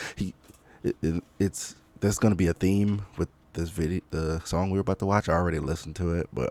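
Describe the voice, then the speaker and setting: Quiet and at a fairly quick pace, a man speaks in a very deep, low pitch with a dark, mellow tone. The sound is dry and close, with no echo. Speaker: music commentator. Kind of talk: casual reaction commentary. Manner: quiet, low volume; hesitant, many fillers.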